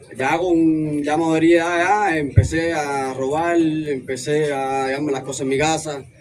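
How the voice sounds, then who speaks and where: Amid noticeable background noise and audible room echo, a man speaks at a fairly slow pace with a fairly high pitch and fairly even intonation. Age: 20s. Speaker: recovering drug addict. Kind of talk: testimony.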